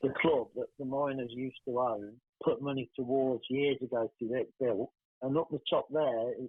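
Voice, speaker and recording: A fairly high-pitched man with a West Midlands accent, fairly even intonation and a moderate pace. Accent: English Midlands (Coventry). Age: 60s. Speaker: filmmaker's father. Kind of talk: interview.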